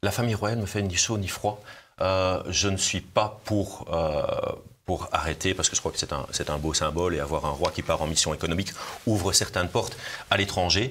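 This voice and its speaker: Amid noticeable background noise, a man with a very deep, low pitch talks at a moderate pace with ordinary pitch variation. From Belgium, Brussels. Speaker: politician, party leader. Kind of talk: political interview. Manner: hesitant, repeats words.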